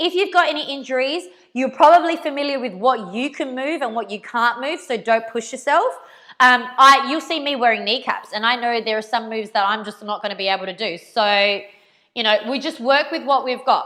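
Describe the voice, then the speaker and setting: A loud voice with a bright, sharp tone and lively intonation runs at a fairly quick pace in a very clean recording with a silent background. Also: woman, high pitch for a woman. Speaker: dance teacher. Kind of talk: live dance class instruction. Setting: live stream from home garage. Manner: casual, chatty.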